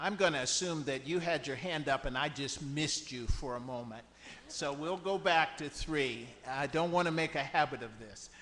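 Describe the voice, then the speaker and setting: Fairly high-pitched for a man, this man has an ordinary speaking voice, ordinary pitch variation and a moderate pace. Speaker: bishop chairing a church conference. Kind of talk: meeting chairing, parliamentary procedure.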